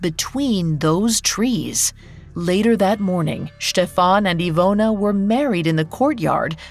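Someone reads a text out loud. The reading is plain.

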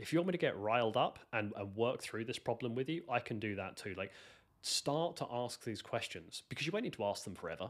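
A man talks at a fairly quick pace with a British accent. The recording is very clean, with a silent background. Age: 30s. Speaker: software developer. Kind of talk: interview. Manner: halting, many fillers.

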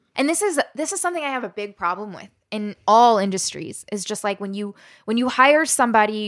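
A woman with an American accent and an ordinary speaking voice, medium in pitch, at a fairly quick pace, in a very clean recording with a silent background and a dry, close sound with no echo. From Southern Maryland, US. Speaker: storyteller and activist. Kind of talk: interview conversation.

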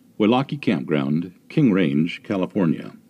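A man talks at a fairly slow pace in a very deep, low voice with vocal fry. His tone is dark and mellow, and his pitch swings very widely. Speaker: voice-over narrator. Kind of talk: reading aloud.

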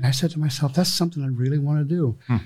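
Somewhat breathy, a man speaks at a fairly high pitch. His pitch variation is ordinary. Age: 60s. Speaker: sushi chef and restaurant owner. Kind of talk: interview. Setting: studio.

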